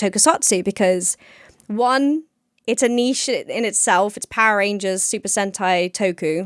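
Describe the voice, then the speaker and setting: A woman with an English accent speaks at a medium pitch and moderate pace. The recording is very clean with a silent background, and the sound is dry and close with no echo. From England. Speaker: podcast co-host and YouTuber. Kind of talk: casual chat.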